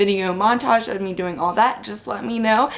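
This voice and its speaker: The speaker has an animated tone and talks at a fairly quick pace over noticeable background noise. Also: woman. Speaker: lifestyle vlogger and mom. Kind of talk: casual vlog talk. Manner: chatty, animated.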